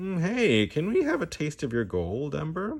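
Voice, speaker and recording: At a moderate pace, a man puts on a character voice pitched fairly high. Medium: read story. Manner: eager, pleading.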